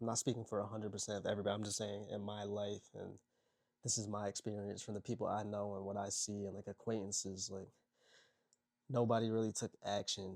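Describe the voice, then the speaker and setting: A man talks quietly at a very fast pace, his pitch fairly low. His intonation is monotone and flat. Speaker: motivational content creator. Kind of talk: casual vlog monologue. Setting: at home, people sleeping next door. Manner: quiet, kept low.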